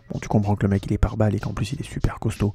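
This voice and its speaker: Music plays in the background behind a man with a fairly low pitch. The sound is dry and close, with no echo. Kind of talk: casual podcast film critique, talking to camera. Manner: fast, animated, colloquial.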